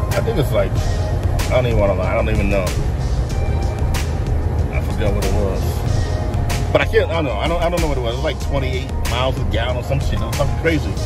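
Loud background music plays as a man speaks very fast, the sound dry with no echo. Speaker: car owner reviewing his car. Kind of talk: casual vlog chat. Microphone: phone near.

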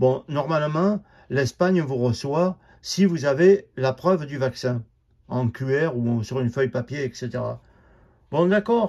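A man talks at a very slow pace with lively intonation and long, frequent pauses against a quiet background. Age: old. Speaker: vlogger; home vlogger. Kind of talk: monologue rant. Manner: halting. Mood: bitter, angry. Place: home room. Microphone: phone near.

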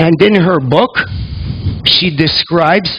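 Against light background noise, a man speaks in a high voice with ordinary pitch variation. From Canada, raised in Greece (Sparta); Canada. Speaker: reflexologist and lecturer; lecturer. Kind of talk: lecture. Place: hall. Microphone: headset.

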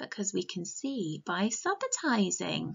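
There is hardly any background sound as this woman speaks. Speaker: teacher reading a story. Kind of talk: storytime lesson for young children. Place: home room. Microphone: webcam.

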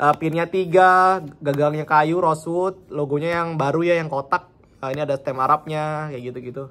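This is a normal speaking voice. It belongs to a man and is fairly high in pitch. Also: moderate pace. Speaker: knife seller. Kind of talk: street seller pitch. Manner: upbeat, chatty, casual. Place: home room. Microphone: phone near.

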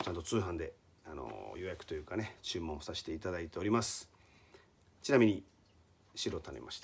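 A man with a very deep, low pitch and vocal fry talks at a fairly quick pace with lively intonation, big swings in loudness and long, frequent pauses, over light background noise. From Hiroshima, Japan; Japan. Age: 40s. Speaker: rock band vocalist; band musician giving a support comment. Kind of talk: recorded video message; casual video message. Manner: polite, frequent filler hesitations. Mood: calm, polite. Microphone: phone near.

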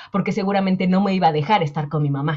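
Against a quiet background, a woman talks at a very fast pace in a somewhat breathy voice with a dark, mellow tone. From Mexico. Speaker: personal finance coach. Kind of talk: interview conversation. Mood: warm, reflective, personal. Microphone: earbuds.

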